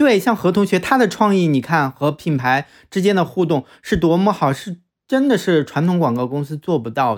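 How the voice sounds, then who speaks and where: A very clean recording with a silent background captures speech delivered at a moderate pace. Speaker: podcast co-host. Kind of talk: casual chat.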